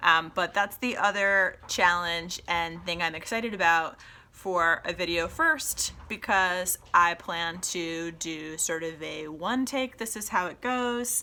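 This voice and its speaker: A woman with a bright, sharp tone and fairly low pitch speaks at a very slow pace with hardly any pauses and ordinary pitch variation, in a very clean recording with a silent background. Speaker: podcast host. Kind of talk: casual solo podcast talk. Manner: halting, with many ums and pauses.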